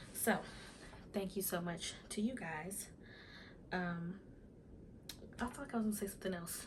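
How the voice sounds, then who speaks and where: The speaker is soft-spoken, moving at a moderate pace with long, frequent pauses. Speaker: YouTuber. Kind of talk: casual vlog talk to camera. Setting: at home in front of camera.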